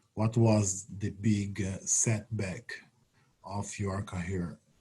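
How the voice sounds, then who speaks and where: A man speaks very slowly with a Brazilian accent, his somewhat breathy voice held in a monotone, flat intonation. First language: Portuguese. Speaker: retired Olympic triple jumper and coach. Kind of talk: webinar talk. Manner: halting.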